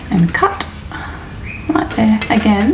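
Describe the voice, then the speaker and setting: Background noise can be clearly heard throughout. Over it, a woman talks. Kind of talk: tutorial. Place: workshop. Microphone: lapel.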